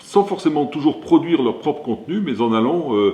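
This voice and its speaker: This man talks at a moderate pace. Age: 60s. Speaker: company founder and CEO. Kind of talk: interview. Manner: hesitant, many fillers.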